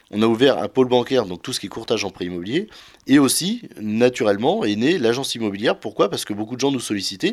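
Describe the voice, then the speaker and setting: A man talks at a very fast pace and medium pitch. His pitch variation is ordinary, and the recording is very clean with a silent background. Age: 30s. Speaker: wealth management advisor. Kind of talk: interview. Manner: hesitant.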